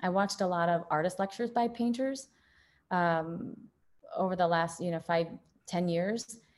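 At a moderate pace, a woman with an American accent speaks at medium pitch with ordinary pitch variation and long, frequent pauses. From rural northern Illinois, US Midwest. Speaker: artist. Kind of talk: interview conversation. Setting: video call.

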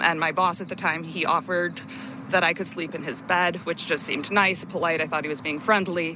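Someone with an American accent speaks at a fairly quick pace with fairly even intonation, over noticeable background noise. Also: woman, fairly low pitch for a woman. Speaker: former lifeguard. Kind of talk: testimony. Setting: outdoors.

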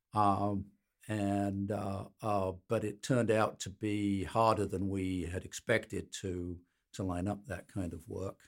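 In a Birmingham accent, a man with a fairly low voice speaks at a very slow pace, his intonation monotone and flat. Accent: English Midlands, Birmingham. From Birmingham, England (Midlands). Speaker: patent litigator. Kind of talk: interview.

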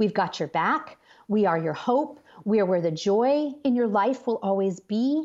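An unremarkable speaking voice from a woman, medium-pitched and fairly slow, with lively intonation, over a quiet background. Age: 40s. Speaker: author and speaker. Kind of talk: interview about faith.

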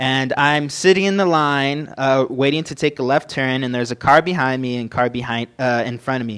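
In an American accent, a man with an ordinary speaking voice talks at a moderate pace with a fairly high pitch and ordinary pitch variation, on a very clean recording with a silent background. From Southern California. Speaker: young preacher. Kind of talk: sermon. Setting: church with microphone.

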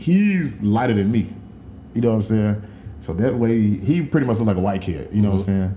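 A man with fairly low pitch and an American accent, with audible room echo. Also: ordinary pitch variation, fairly quick pace. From Dallas, Texas. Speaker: podcast co-host. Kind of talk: casual chat.

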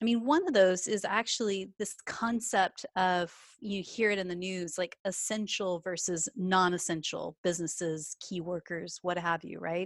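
A woman with a Texan accent, medium in pitch with ordinary pitch variation, at a moderate pace, on a very clean recording with a silent background and a dry, close sound with no echo. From Texas. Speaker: coach and podcast host. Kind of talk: casual interview chat.

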